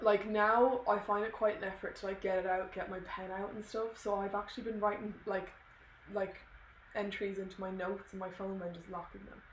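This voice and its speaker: There is noticeable background noise as a woman speaks with an Irish accent at a medium pitch. Her pace is fairly quick, her intonation monotone and flat, and her loudness swings a lot. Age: 20s. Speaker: podcast co-host. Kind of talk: casual chat.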